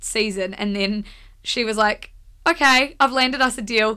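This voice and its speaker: A woman with a New Zealand accent, fairly high pitch, bright, sharp tone, ordinary pitch variation and moderate pace, in a very clean recording with a silent background. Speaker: media company co-founder. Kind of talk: casual chat. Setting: studio.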